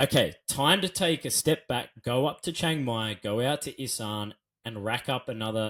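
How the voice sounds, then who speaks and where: A man with an Australian accent, very wide pitch swings and a fairly slow pace, on a very clean recording with a silent background. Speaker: Muay Thai commentator and former fighter. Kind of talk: interview answer. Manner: casual, conversational.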